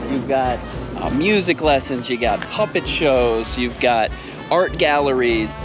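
The sound is dry with no echo, the pitch varies in an ordinary way, and music plays in the background. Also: man. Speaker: travel vlogger. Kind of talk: casual vlog chat. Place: street. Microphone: phone near.

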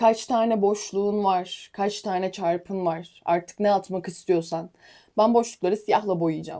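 A woman talks at a very slow pace. Her tone is dark and mellow, and her intonation stays fairly even. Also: very clean recording, silent background. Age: young. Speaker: fitness trainer and competitive athlete. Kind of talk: casual vlog tutorial.

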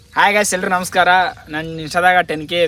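A man's voice over noticeable background noise. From North Karnataka, Gulbarga district village. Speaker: village travel vlogger and farm worker. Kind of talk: casual Q&A vlog. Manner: animated.

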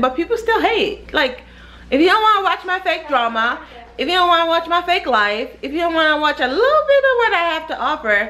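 A woman's raised, projected voice, very fast in pace and bright and sharp in tone. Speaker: mom vlogger. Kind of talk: casual vlog chat. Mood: cheerful, playful, then sassy. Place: kitchen. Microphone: phone near.

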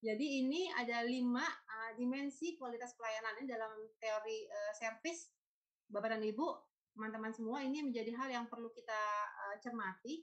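Against a quiet background, a woman speaks at a fairly quick pace with a fairly high pitch and ordinary pitch variation. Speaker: food stylist, culinary writer and lecturer; lecturer. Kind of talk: webinar presentation. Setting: video call. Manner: halting. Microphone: video call.

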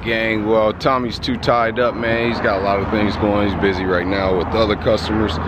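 The sound is dry with no echo, with noticeable background noise. Intonation stays fairly even. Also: man. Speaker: car vlogger. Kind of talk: casual vlog chat. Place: street. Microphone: phone near.

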